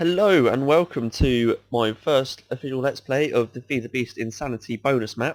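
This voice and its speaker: A man with a British accent and medium pitch speaks with hardly any pauses and ordinary pitch variation, recorded dry and close with no echo. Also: moderate pace. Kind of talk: casual gameplay commentary.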